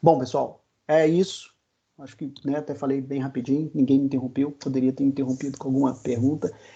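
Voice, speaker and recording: A man talks at a fairly quick pace with a fairly high pitch and a dark, mellow tone. His intonation is monotone and flat. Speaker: agile consultant. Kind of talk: webinar presentation. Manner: fast.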